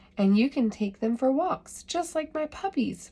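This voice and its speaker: A woman puts on a character voice, speaking high in pitch at a moderate pace. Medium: read story. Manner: barking.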